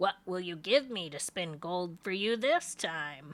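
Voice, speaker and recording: Using a put-on character voice, a woman speaks in a raspy tone at a medium pitch and a fairly slow pace. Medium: read story. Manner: sly, bargaining.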